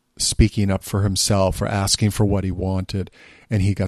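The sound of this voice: The text comes through in an unforced reading voice.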